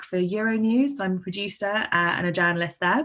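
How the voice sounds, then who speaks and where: A woman with a southern English accent, medium in pitch and bright, sharp in tone, with ordinary pitch variation on a very clean recording with a silent background. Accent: southern English, noticeable. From London and Surrey area. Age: 20s. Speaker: journalist and producer. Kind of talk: conference talk.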